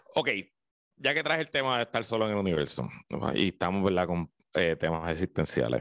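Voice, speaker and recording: A man's very deep, low voice with vocal fry and a Puerto Rican accent, at a fairly quick pace with very wide pitch swings, dry and close with no echo over a quiet background. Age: 30s. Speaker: radio commentator. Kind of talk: casual chat.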